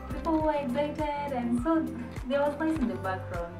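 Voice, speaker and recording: A woman over clear music in the background. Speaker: lifestyle vlogger. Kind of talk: casual vlog chat. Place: home room.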